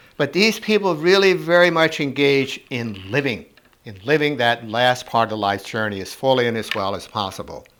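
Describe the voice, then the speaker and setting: A man at a moderate pace, with very wide pitch swings and big swings in loudness over noticeable background noise. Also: medium pitch for a man. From North Dakota. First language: German. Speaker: hospice educator. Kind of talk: recorded talk for a church congregation. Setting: pre-recorded presentation.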